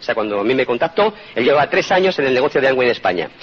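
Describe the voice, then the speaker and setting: The speech moves at a fairly quick pace with very wide pitch swings. Noticeable background noise is present. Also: man. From Spain. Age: 50s. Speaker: motivational speaker. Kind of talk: motivational talk.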